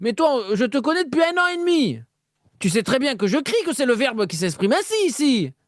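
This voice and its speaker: A man shouting at an extremely high pitch, with very wide pitch swings. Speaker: spiritual live radio host. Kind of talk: live call-in spiritual talk. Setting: live stream. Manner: animated.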